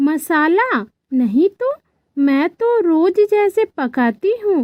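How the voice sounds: In a cartoonish character voice, a woman speaks very slowly at an extremely high pitch, her pitch swinging very widely.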